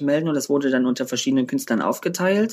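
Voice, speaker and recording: The speaker is a man with a fairly high pitch. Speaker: drag performer and DJ. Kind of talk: casual interview. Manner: loud.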